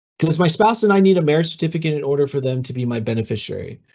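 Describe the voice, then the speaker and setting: A man speaks in a somewhat breathy voice. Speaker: communications analyst for a retirement system. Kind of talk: webinar Q&A. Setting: online webinar. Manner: fast; hesitant, many fillers.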